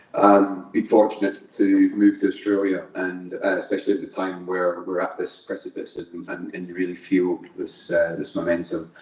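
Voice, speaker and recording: Over noticeable background noise, a man speaks at a moderate pace with hardly any pauses. His loudness swings widely. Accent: Scottish. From Scotland. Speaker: engineer and construction company manager. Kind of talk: panel discussion introduction.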